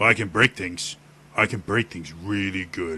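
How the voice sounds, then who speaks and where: A man puts on a character voice with a very deep, low pitch. He speaks at a moderate pace against a quiet background. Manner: slow, simple.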